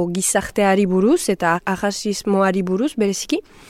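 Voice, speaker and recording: A woman with an ordinary speaking voice, medium in pitch, with fairly even intonation, in a very clean recording with a silent background. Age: 20s. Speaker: actress and singer. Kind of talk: interview.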